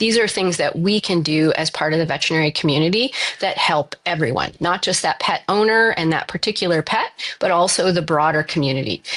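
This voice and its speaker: A woman speaks at a fairly quick pace in a fairly low pitch, her loudness very even and her pitch varying in an ordinary way, with noticeable background noise behind her. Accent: Canadian. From Canada. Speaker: veterinary infectious disease specialist. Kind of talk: podcast interview.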